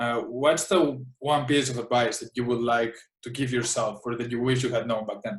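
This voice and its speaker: A man talks at a moderate pace and medium pitch. His somewhat breathy voice shows ordinary pitch variation. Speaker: podcast host. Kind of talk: interview. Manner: stammering.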